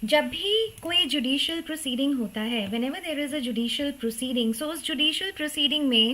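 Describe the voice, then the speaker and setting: With hardly any pauses, a woman talks at a high pitch. Her intonation is lively. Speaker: law teacher. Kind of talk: online live class lecture. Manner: slow; Hindi-English code-switching.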